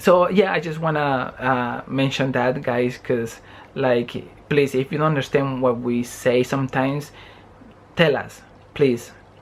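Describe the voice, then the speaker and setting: Pausing long and often, a man with a Spanish accent speaks in a fairly high pitch with fairly even intonation. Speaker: vlogger. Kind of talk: casual chat. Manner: halting.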